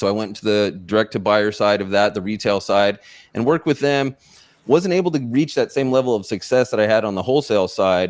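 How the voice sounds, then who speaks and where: Here a man speaks in an American accent at a fairly quick pace. His pitch is fairly low with ordinary variation, on a very clean recording with a silent background. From California (San Diego). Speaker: mindset and performance coach. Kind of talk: interview.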